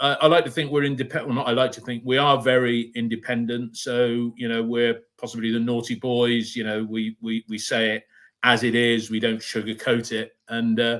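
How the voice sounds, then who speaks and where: A man with a West Country accent at medium pitch, with monotone, flat intonation, a moderate pace and hardly any pauses. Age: 60s. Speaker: fan podcast host. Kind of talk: casual chat.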